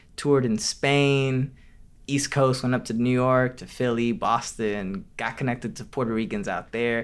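A man at a medium pitch with an American accent, moderate pace and ordinary pitch variation, against a quiet background. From Detroit, Michigan, US. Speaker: podcast host and Bible institute teacher. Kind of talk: casual podcast conversation with interview.

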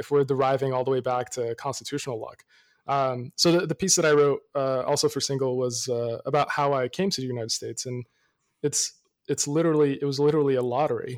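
Recorded very cleanly against a silent background, a man with a fairly high pitch talks at a very fast pace with ordinary pitch variation. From Morocco. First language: not English (English is his third language). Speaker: public defender. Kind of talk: casual interview conversation. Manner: hesitant, many fillers.

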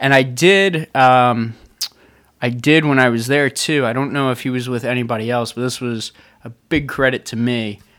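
An unremarkable speaking voice at a moderate pace, fairly even in intonation, on a very clean recording with a silent background. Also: man, medium pitch for a man. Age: 20s. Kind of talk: casual banter with partner. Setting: home, recording with a microphone.

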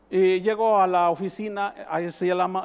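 A man's high-pitched voice with ordinary pitch variation over a quiet background. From rural northern Mexico. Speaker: pastor. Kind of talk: sermon. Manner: animated.

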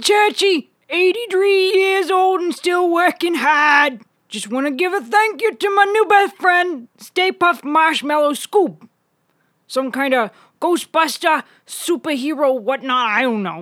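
This put-on character voice sits at an extremely high pitch and moves at a fairly slow pace. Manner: folksy, rambling.

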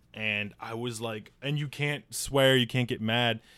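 A man with a Midwestern US accent, medium pitch and a moderate pace. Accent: US Midwest. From northern Illinois, US. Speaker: newspaper worker and comedian. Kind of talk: casual chat.

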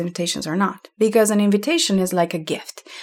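In a Slovenian accent, a woman speaks at a medium pitch with fairly even intonation on a very clean recording with a silent background. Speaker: podcast host, learning experience designer. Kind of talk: solo podcast monologue.

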